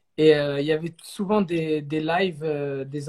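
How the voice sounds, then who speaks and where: A plain, everyday voice from a man, fairly high in pitch and fairly even in intonation, in a very clean recording with a silent background. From southern France, Saint-Raphaël. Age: 20s. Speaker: singer. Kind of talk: interview.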